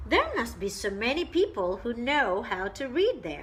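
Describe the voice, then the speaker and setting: A woman uses a put-on character voice, fairly high in pitch, at a moderate pace. Clear background noise runs behind her. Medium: read story. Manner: mild, polite.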